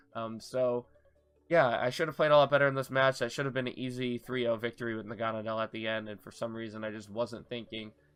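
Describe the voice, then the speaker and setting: Over background music, a man of medium pitch talks at a very fast pace with fairly even intonation and big swings in loudness. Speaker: gaming video creator. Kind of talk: post-match commentary. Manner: halting, many fillers.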